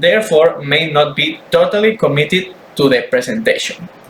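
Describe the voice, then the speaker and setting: A man speaks at a moderate pace with a fairly high pitch and ordinary pitch variation. Noticeable background noise runs underneath. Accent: non-native. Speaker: student. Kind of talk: class presentation. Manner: halting, repeats words.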